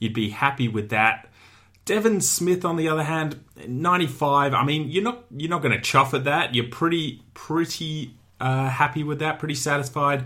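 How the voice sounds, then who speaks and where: With an Australian accent, a man speaks at a moderate pace in a fairly high, bright, sharp voice with ordinary pitch variation. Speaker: fantasy football podcast host. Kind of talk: solo sports analysis podcast. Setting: studio. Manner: casual.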